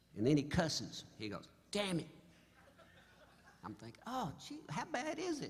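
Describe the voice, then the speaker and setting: A man at a moderate pace with long, frequent pauses and big swings in loudness, in audible room echo. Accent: American. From Oklahoma. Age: 70s. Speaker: singer-songwriter. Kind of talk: stage banter storytelling. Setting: stage with audience. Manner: animated.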